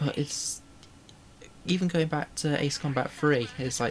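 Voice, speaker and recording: In a northern English accent, the speaker talks quietly at a fairly slow pace. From northern England. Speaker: vtuber streamer. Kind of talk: casual gaming livestream chat.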